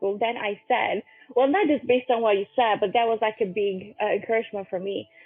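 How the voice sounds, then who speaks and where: Over music in the background, a woman with a Romanian accent talks at a very fast pace. Her pitch is high. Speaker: podcast host. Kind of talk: interview.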